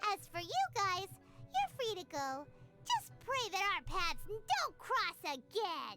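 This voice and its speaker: Over loud music in the background, a put-on character voice speaks at a fairly slow pace with an extremely high pitch. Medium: video game.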